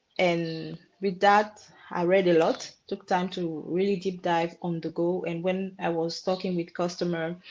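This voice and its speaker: In a French accent, a woman speaks at a fairly low pitch. Her intonation is monotone and flat, and her pace fairly slow. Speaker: marketing professional. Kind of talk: career talk webinar. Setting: webinar. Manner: halting.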